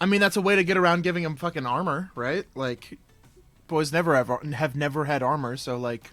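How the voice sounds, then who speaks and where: With music in the background, someone speaks in an American accent at a fairly quick pace. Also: man, fairly high pitch for a man, ordinary pitch variation. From Michigan, US. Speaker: streamer. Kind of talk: casual livestream chat while painting miniatures. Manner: loud, often yelling; animated. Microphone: new proper mic with audio interface.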